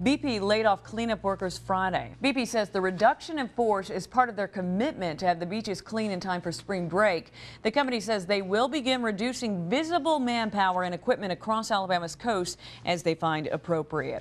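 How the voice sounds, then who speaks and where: A woman's plain, everyday voice at medium pitch, lively intonation and hardly any pauses, on a very clean recording with a silent background. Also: fairly quick pace. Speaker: TV news anchor and reporter. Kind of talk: TV news anchor read.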